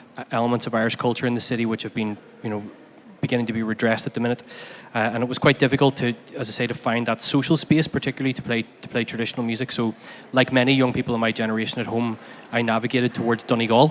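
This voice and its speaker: A man speaks in a Belfast accent at a very fast pace. His medium pitch stays monotone and flat. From Northern Ireland, Belfast. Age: 30s. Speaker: fiddle player and academic. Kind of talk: symposium talk.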